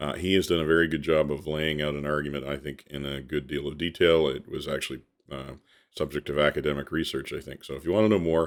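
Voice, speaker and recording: With a very deep, low pitch and vocal fry, a man speaks at a very fast pace using fairly even intonation. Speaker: history podcaster. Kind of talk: documentary podcast narration. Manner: casual with filler words.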